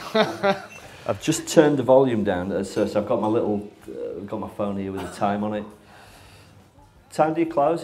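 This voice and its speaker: A man speaks at a medium pitch and a moderate pace, his pitch swinging very widely and his loudness rising and falling sharply, with audible room echo and noticeable background noise. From northern England, Barnsley (South Yorkshire). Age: 40s. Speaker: interview host. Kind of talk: casual interview chat.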